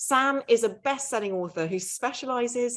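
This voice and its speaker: Against a quiet background, a woman talks in a British accent. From Britain. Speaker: author and podcast host. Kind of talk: live event interview. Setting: livestreamed online event.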